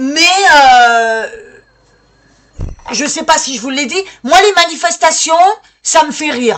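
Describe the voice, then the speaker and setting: A woman's high-pitched voice, bright and sharp in tone, at a very slow pace with ordinary pitch variation. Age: 60s. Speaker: citizen activist vlogger. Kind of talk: call to action monologue. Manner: halting, many hesitations.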